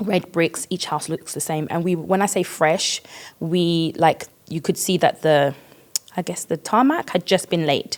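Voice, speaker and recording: Speaking at a fairly slow pace, a woman with a British accent has a fairly low voice and ordinary pitch variation. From East London, England (British Ghanaian). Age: 30s. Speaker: podcast guest, church member. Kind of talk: casual interview.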